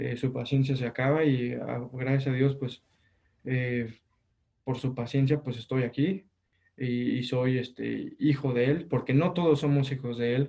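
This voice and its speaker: This man's dark, mellow tone comes out somewhat breathy, delivered at a fairly slow pace with monotone, flat intonation. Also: medium pitch for a man. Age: 20s. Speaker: engineering student. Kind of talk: casual interview.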